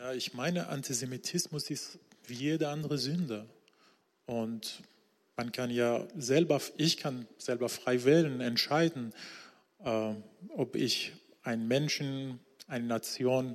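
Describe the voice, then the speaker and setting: A man with a Persian accent speaks at a very slow pace, leaving long, frequent pauses. His medium-pitched voice shows ordinary pitch variation. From Iran, Isfahan. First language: Persian (speaking German). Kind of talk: church interview testimony. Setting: church stage with congregation.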